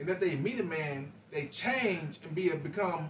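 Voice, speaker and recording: Noticeable background noise sits behind a man speaking at a high pitch with ordinary pitch variation. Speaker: podcast guest. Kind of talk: casual chat.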